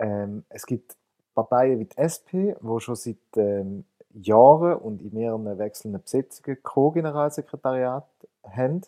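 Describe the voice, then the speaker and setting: A man's dark, mellow voice at medium pitch, fairly slow in pace, with lively intonation and a dry, close sound with no echo. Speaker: political journalist. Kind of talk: casual chat.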